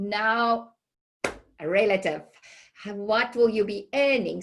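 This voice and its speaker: A woman with a South African accent, at a fairly slow pace. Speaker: healthcare recruiter. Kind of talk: webinar presentation. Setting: online webinar. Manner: hesitant with many fillers.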